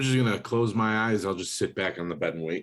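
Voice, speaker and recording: Putting on a character voice, a man rattles along at a very fast pace, raspy and fairly low in pitch. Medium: actual play.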